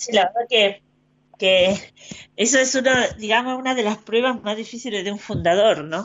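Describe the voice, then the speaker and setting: A woman talks at a moderate pace in a normal speaking voice. Her pitch sits fairly high with ordinary variation. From Argentina. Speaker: postulator for saints' causes. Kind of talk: radio interview.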